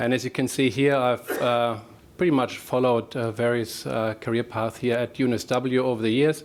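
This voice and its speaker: Speaking with a German accent, a man keeps a moderate pace and fairly even intonation. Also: medium pitch for a man. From Germany. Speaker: professor. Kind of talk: presentation. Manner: halting, with fillers.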